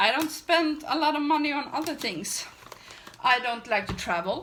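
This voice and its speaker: In a Swedish accent, a woman speaks at a moderate pace. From Sweden. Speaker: beauty vlogger. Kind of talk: casual chat while doing makeup. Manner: halting.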